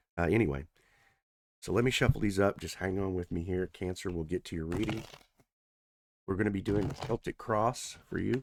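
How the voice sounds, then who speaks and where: A man speaks quietly at a fairly quick pace with a very deep, low pitch and ordinary pitch variation. The recording is very clean with a silent background and a dry, close sound with no echo. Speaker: tarot reader. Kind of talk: tarot reading. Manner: quiet, low voice; casual.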